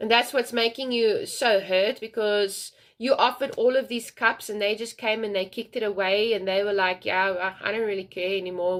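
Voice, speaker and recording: The pace is fairly quick on a very clean recording with a silent background. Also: woman. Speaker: tarot reader. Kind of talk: tarot reading. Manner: fast; animated.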